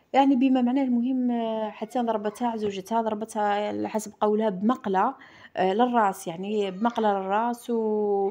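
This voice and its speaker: A woman speaks fairly slowly against a quiet background, her pitch fairly high. Her tone is dark and mellow, and her intonation is fairly even. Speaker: lifestyle vlogger. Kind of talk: casual vlog monologue.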